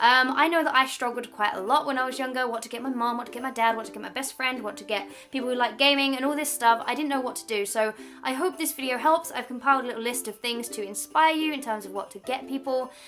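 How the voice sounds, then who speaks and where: Against noticeable background noise, a woman with a southern English accent talks at a very fast pace with hardly any pauses, a high pitch, fairly even intonation, and big swings in loudness. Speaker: YouTuber. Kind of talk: vlog.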